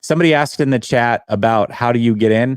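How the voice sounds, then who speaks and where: A man with an American accent talks fairly quickly in a medium pitch, with ordinary pitch variation and an ordinary speaking voice. The sound is dry and close, with no echo. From US Pacific Northwest. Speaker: call-in show host. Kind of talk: live call-in stream.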